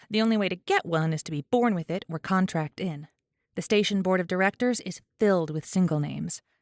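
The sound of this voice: Ordinary pitch variation marks an unforced reading voice heard over a quiet background.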